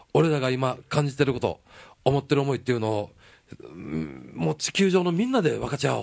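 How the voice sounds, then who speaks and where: In a Kansai accent, a man talks with an animated tone at a fairly quick pace and fairly high pitch. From Nara, Japan (Kansai). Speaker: singer-guitarist. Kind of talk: casual chat. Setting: drinking at a bar.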